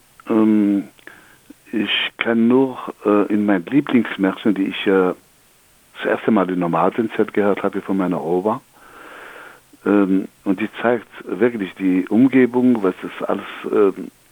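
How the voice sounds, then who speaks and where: At a fairly slow pace, a man talks in a fairly low pitch with ordinary pitch variation. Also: long, frequent pauses. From Algeria. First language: Algerian Arabic (speaking German). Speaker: storyteller. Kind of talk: storytelling; interview. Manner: halting.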